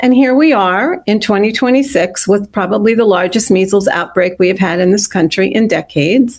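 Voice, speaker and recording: A woman speaks in a plain, everyday voice at a fairly quick pace. Her loudness stays very even, with hardly any pauses. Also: medium pitch for a woman, ordinary pitch variation. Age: 60s. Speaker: nurse and grandparent advocate. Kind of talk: panel interview.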